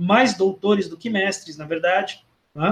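The man's voice sits high in pitch, and he talks at a fairly slow pace. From Londrina, Paraná, southern Brazil. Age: 40s. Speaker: philosophy professor. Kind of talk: casual interview. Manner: halting, with frequent repetitions.

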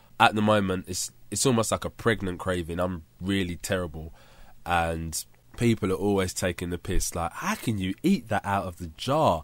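A man's very deep, low voice with a London accent, ordinary pitch variation and a moderate pace, on a very clean recording with a silent background. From London, England. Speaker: podcaster. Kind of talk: casual monologue. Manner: chatty.

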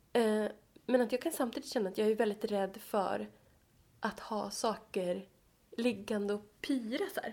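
The voice carries vocal fry. Its pitch variation is ordinary. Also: woman. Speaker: podcast co-host, psychology student. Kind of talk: casual chat. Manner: fast.

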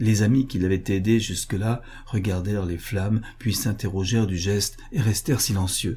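The intonation is fairly even. It sounds like a natural reading voice.

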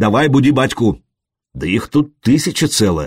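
The delivery is a natural reading voice with lively intonation. The background is quiet.

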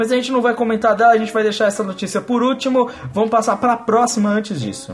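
Over noticeable background noise, a man with a high pitch talks at a very fast pace in fairly even intonation. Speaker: football podcast host. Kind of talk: casual chat.

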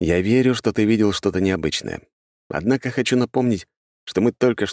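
An unforced reading voice with ordinary pitch variation. The background is quiet.

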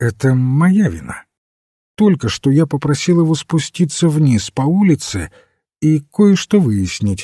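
In a put-on character voice, a man speaks fairly slowly at a fairly high pitch with big pitch swings, a dark, mellow tone and a slightly husky edge, on a very clean recording with a silent background.

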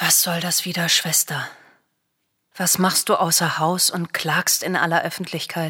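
A woman puts on a character voice, bright and sharp with a slightly husky edge. Her pitch is fairly low and moves very little. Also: fairly slow pace.

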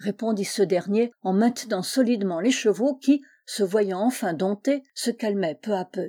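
The reading voice sounds unforced. Pitch rises and falls by ordinary amounts.

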